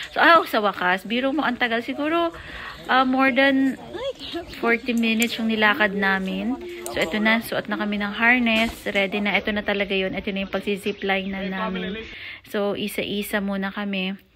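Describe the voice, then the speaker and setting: A woman's medium-pitched voice at a moderate pace, with ordinary pitch variation and music in the background. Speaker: vlogger. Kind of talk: casual vlog narration. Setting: outdoors. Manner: loud.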